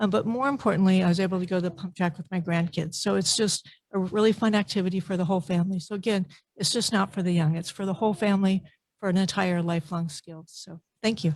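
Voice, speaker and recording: At a very fast pace, a woman speaks at a medium pitch, somewhat breathy, with fairly even intonation. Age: 60s. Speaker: public commenter at park board meeting. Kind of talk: public comment testimony.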